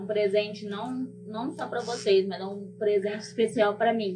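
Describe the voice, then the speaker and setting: A woman's medium-pitched, flat, monotone voice at a fairly slow pace, with audible room echo and music in the background. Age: 40s. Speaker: public servant and activist. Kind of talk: personal testimony. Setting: stage with audience.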